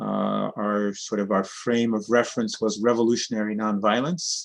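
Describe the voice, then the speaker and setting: In an ordinary speaking voice, a man talks at a moderate pace with a fairly low pitch. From New York City, born in Cuba. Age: 60s. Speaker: sociocracy trainer and cooperative organizer. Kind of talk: interview. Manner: conversational with frequent fillers.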